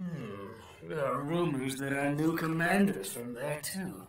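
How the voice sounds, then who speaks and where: A man puts on a character voice, fairly high-pitched and fairly slow, over clear background noise. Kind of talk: comic overacting. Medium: fan dub. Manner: excitable, theatrical.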